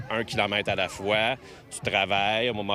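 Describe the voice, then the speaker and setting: A man speaks with a Quebec accent at a fairly low pitch. Noticeable background noise runs behind him. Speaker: community police officer. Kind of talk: news interview clip.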